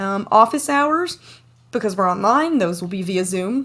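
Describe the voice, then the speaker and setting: With an American accent, a woman at medium pitch speaks at a moderate pace with lively intonation. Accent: Southern US, comes out when tired. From US South, East Tennessee. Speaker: university lecturer. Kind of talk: online lecture. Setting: home office, recorded video.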